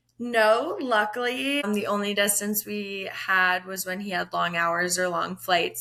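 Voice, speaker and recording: Over noticeable background noise, a speaker with an American accent talks fairly slowly. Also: woman. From upstate New York, US. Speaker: interview guest sharing grief story. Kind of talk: podcast interview. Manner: loud, outspoken.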